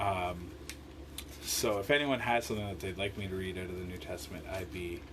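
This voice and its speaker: A man with a very deep, low pitch talks at a fairly quick pace with ordinary pitch variation. Noticeable background noise and audible room echo surround him. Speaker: lay bible study leader. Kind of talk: live-streamed bible devotional. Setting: home live stream. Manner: slurs some words; casual, hesitant with fillers.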